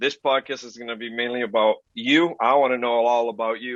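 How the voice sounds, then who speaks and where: Fairly even intonation from a man with an unremarkable speaking voice. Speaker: podcast host. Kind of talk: casual podcast talk.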